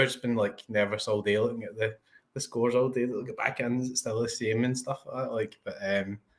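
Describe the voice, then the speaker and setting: Speaking in a Scottish accent, a man keeps a medium pitch and fairly even intonation at a fairly quick pace. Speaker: fantasy football streamer. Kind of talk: casual chat. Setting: live stream.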